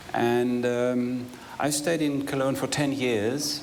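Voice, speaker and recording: A man talks with ordinary pitch variation, with audible room echo and noticeable background noise around him. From northwestern Germany. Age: 60s. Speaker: retired lawyer and manager. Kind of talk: interview. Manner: halting.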